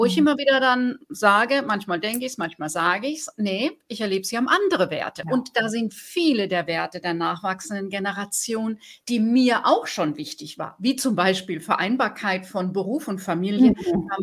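A woman speaks at a moderate pace with lively intonation and hardly any pauses, her somewhat breathy voice sitting at a medium pitch. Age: 50s. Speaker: podcast host and business coach. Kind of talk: scripted narration; interview conversation.

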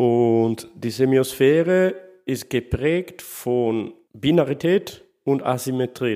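Lively intonation marks a man's medium-pitched voice on a very clean recording with a silent background. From Sardinia, Italy. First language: Italian / Sardinian (speaking German). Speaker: literary scholar. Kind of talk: interview. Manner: halting, non-native phrasing.

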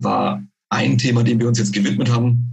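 The audio carries audible room echo. A man with a medium-pitched voice and vocal fry talks at a moderate pace. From Bavaria. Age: 30s. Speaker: head of a post-processing business unit. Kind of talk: technical interview. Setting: remote call via internet. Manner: halting, many fillers.

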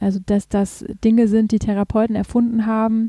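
The voice has a dark, mellow tone, somewhat breathy, with monotone, flat intonation and a dry, close sound with no echo. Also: woman. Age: 30s. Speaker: patient advocacy group founder. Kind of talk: casual interview.

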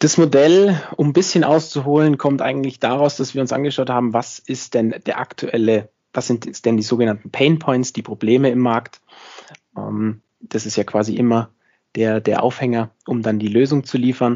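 Medium pitch for a man, ordinary pitch variation, a moderate pace throughout. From Bavaria, near Munich. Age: 20s. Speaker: IT company founder. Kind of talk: interview.

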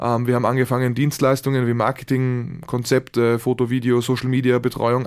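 A fairly quick delivery on a very clean recording with a silent background. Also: man. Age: 20s. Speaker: entrepreneur. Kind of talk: interview.

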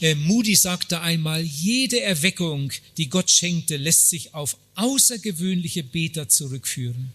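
A man's high voice with lively intonation at a fairly slow pace, music in the background. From Germany. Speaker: evangelist. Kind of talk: sermon. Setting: conference hall with audience. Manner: short phrases paused for interpreter.

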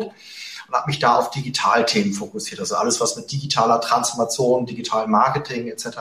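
A man's voice over noticeable background noise. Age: 40s. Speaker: investor and investing podcaster. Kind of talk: interview.

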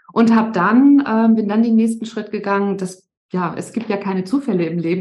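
Somewhat breathy and dark, mellow in tone, a woman's fairly high voice moves at a fairly quick pace. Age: 50s. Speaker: resilience coach. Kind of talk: podcast interview.

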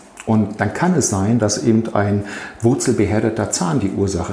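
A man's fairly low voice with audible room echo and noticeable background noise. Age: 50s. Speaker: physician. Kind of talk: interview.

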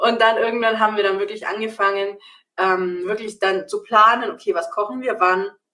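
A woman's fairly high voice with a bright, sharp tone and fairly even intonation. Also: moderate pace. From Bavaria, Augsburg. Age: 30s. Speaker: nutrition coach. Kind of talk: casual interview.

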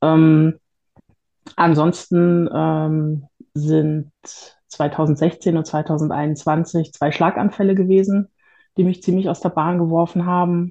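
Over a quiet background, a woman with a fairly low pitch talks at a very slow pace, with long, frequent pauses and monotone, flat intonation. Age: 40s. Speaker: patient sharing experience with illness and depression. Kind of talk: interview testimony.

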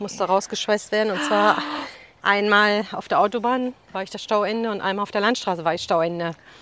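Bright, sharp tone from a woman going at a fairly quick pace. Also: medium pitch for a woman, ordinary pitch variation. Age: 50s. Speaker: businesswoman. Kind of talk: interview. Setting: outdoors, walking in a forest. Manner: fast.

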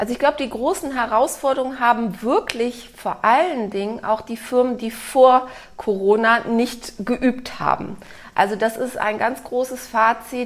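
Speaking at a fairly slow pace, the woman uses a high-pitched voice. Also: ordinary pitch variation. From Germany, Cologne. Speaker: author and organizational consultant. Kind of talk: interview conversation.

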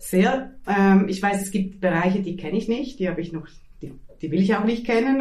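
A woman's medium-pitched voice at a fairly quick pace, ordinary pitch variation and audible room echo. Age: 40s. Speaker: teacher and artist. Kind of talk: interview. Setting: at home. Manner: halting.

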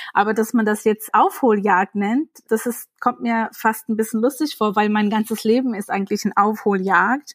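On a very clean recording with a silent background and a dry, close sound with no echo, a woman with a plain, everyday voice and fairly high pitch talks at a moderate pace with fairly even intonation and hardly any pauses. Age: 30s. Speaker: author. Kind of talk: interview conversation.

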